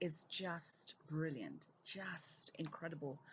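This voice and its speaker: Somewhat breathy and very deep and low in pitch, a woman speaks with fairly even intonation. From Zambia. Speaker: keynote speaker, UN development director. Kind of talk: recorded keynote video message.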